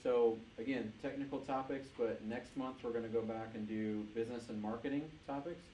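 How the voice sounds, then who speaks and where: A man at medium pitch, fairly quick in pace and fairly even in intonation, amid audible room echo and noticeable background noise. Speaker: user group meetup host. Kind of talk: closing remarks to meetup audience. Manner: loud.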